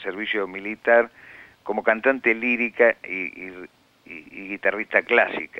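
Speaking rather slowly, a man delivers his lines. His voice sits at a medium pitch. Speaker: writer. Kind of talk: interview testimony. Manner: halting.

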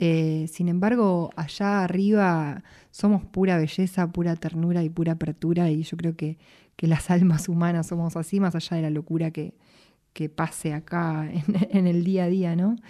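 Over a quiet background, a woman with a Rioplatense accent speaks at a moderate pace in a fairly low, dark, mellow voice with monotone, flat intonation. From Buenos Aires, Argentina. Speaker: singer-songwriter. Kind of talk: interview.

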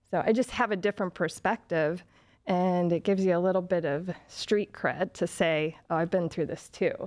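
Here a woman with a medium pitch and a plain, everyday voice talks at a fairly slow pace with fairly even intonation. The sound is dry and close with no echo, over a quiet background. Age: 40s. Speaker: breast cancer survivor. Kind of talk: interview.

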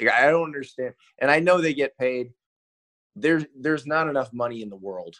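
Using an ordinary speaking voice, a man with a fairly high pitch talks at a fairly quick pace with ordinary pitch variation and big swings in loudness, in a dry, close sound with no echo. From US South (South Carolina, then Florida). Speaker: sportswriter. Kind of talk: casual interview.

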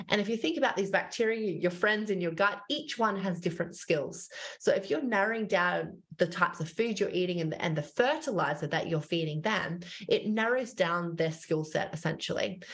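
With an Australian accent, a woman talks at a fairly quick pace and medium pitch, her somewhat breathy voice carrying lively intonation. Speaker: dietitian and author. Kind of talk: casual interview chat.

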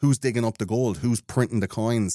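A fairly low-pitched man with an Irish accent, on a very clean recording with a silent background and a dry, close sound with no echo. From Ireland. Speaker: podcast host, conspiracy show. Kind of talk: casual chat.

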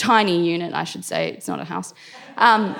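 A woman speaks with an Australian accent. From Australia, Indian family. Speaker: storyteller. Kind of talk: live storytelling. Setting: stage with audience.

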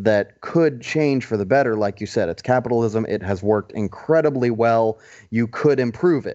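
Here a man with an American accent has an ordinary speaking voice, medium pitch and ordinary pitch variation. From US South. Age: 20s. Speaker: political commentator guest. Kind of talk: casual political discussion.

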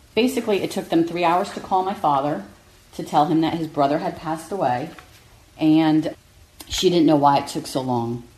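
A woman speaks at a moderate pace with a very deep, low pitch. Her intonation is lively, and there is noticeable background noise. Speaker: relative of nursing home victim. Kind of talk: interview testimony. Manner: measured, halting.

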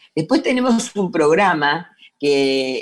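A woman speaks at a fairly low pitch with lively intonation. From Buenos Aires, Argentina. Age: 60s. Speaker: NGO president. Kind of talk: interview.

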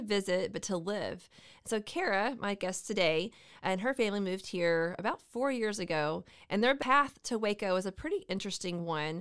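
Her American accent carries an unremarkable speaking voice at medium pitch. The woman keeps a moderate pace with ordinary pitch variation. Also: very clean recording, silent background. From Central Texas. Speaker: podcast host. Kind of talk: casual chat.

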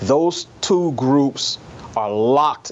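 With an American accent, a man speaks as noticeable background noise continues. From New York City. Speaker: newspaper columnist. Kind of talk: interview.

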